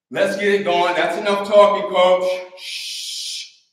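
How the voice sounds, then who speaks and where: This is a man speaking. Some room echo can be heard around his voice. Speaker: fitness coach. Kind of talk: workout instruction. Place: gym. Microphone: camera far.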